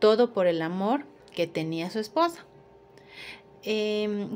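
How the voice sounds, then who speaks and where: Her intonation lively, a woman speaks at a fairly slow pace. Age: 30s. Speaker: accounting student. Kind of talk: class presentation. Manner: slightly halting. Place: home room. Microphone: phone near.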